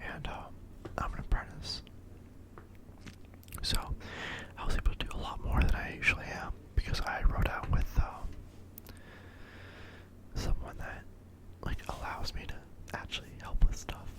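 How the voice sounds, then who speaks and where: Whispering at a moderate pace, broken by long, frequent pauses. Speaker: ASMR creator; apprentice plumber. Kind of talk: ASMR whisper talk. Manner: whispered; repeats trigger words.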